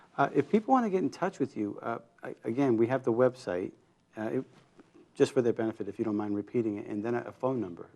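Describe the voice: Talking fast, a man uses a medium pitch, lively intonation and a dark, mellow tone touched with vocal fry.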